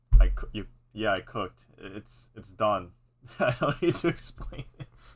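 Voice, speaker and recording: A man's somewhat breathy voice comes through with big swings in loudness. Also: medium pitch for a man, lively intonation. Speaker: content creator live-streaming music editing. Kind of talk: casual live stream commentary. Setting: live stream. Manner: halting, many repetitions and false starts.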